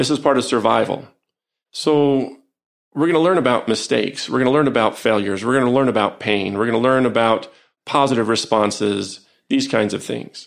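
Over a quiet background, a man with a normal speaking voice talks at a fairly quick pace in a medium pitch, with ordinary pitch variation. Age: 50s. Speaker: psychologist and professor. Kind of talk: interview conversation. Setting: in an office.

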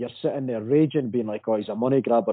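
This man speaks with a Dundee accent. His pitch is medium, with ordinary variation. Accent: Scottish (Dundee). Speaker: football fan guest. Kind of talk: casual chat.

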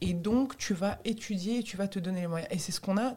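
This woman's somewhat breathy, medium-pitched voice moves at a moderate pace with ordinary pitch variation. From Tunisian heritage, raised in France. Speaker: stand-up comedian. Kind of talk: casual interview chat.

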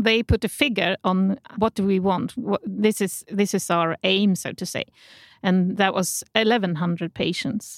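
A woman speaks fairly slowly in a Swedish accent, her pitch medium and her intonation fairly even. The recording is very clean, with a silent background. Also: dry, close sound with no echo. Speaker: healthcare journalist. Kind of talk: interview. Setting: studio. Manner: halting.

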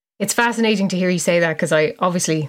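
A fast-talking woman with a fairly low pitch and ordinary pitch variation.

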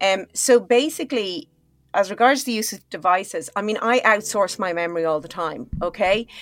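A woman's medium-pitched voice with an Irish accent, moderate pace, lively intonation and big swings in loudness. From Ireland. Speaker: neuroscientist and health psychologist. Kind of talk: interview conversation. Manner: animated.

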